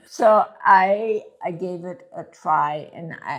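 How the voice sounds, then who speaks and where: A woman amid noticeable background noise. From Germany. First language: German. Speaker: retired sewing teacher and knitwear designer. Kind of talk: casual chat. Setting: in person.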